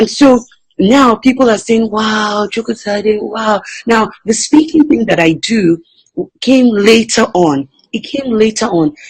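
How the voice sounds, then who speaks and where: A woman with a non-native accent speaks at a fairly slow pace in a somewhat breathy voice with lively intonation. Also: fairly high pitch for a woman. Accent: foreign accent, somewhat reduced by practice. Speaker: entrepreneur and motivational speaker. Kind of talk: interview.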